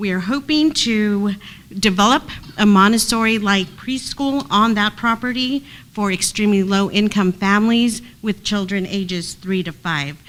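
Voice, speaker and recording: A woman talks in a plain, everyday voice, her pace moderate and her pitch variation ordinary. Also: medium pitch for a woman. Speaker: housing agency staff presenter. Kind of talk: committee meeting presentation.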